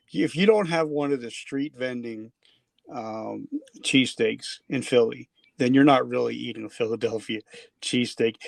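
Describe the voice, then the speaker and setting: Speaking with a New Jersey accent, a man keeps a moderate pace while his loudness swings widely. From New Jersey, US. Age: 50s. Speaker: podcast host. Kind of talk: podcast interview. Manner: casual, conversational; occasional stammer.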